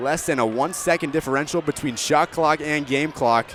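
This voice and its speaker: A man talks at a fairly quick pace with a fairly high pitch and ordinary pitch variation. Noticeable background noise sits behind him. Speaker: sports broadcaster. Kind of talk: radio basketball play-by-play.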